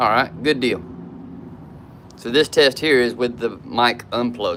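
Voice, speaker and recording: At a moderate pace, a man of medium pitch talks with a Southern US accent. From South Georgia / North Florida. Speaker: YouTuber. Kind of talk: casual live stream chat. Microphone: camera built-in mic.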